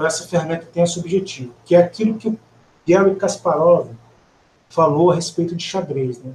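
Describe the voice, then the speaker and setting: A man with a high pitch talks at a fairly quick pace, using ordinary pitch variation and long, frequent pauses. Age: 40s. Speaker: offensive security researcher. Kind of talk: technical webcast presentation.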